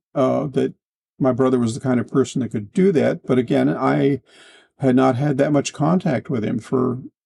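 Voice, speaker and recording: A man at medium pitch speaks with vocal fry and a dark, mellow tone, in a dry, close sound with no echo. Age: 70s. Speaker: author. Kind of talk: interview. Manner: halting, with repetitions and fillers.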